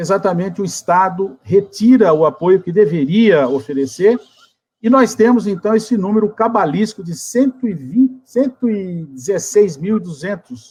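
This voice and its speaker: Lively intonation marks a man's high-pitched voice, delivered at a moderate pace. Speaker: geography professor, debate moderator. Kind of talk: academic webinar introduction.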